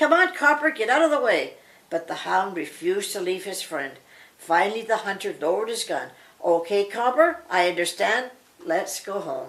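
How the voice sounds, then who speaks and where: In a put-on character voice, a woman speaks at a medium pitch and a moderate pace with very wide pitch swings. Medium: read story. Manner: gruff.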